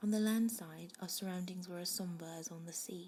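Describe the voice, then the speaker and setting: Soft-spoken delivery proceeds at a moderate pace. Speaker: amateur ASMR reader, first time doing ASMR. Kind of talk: bedtime story reading, ASMR audiobook. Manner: soft-spoken, growing louder as the reading goes on.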